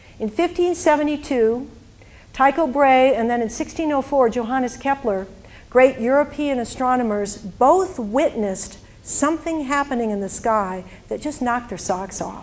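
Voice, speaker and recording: A woman with a high pitch delivers her words at a fairly slow pace, her intonation lively. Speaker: presenter. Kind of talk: lecture. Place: hall. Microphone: handheld.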